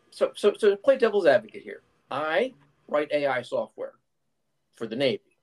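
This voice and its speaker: Someone with an American accent talks at a moderate pace, with long, frequent pauses. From Philadelphia, US. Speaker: software developer. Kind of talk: heated debate.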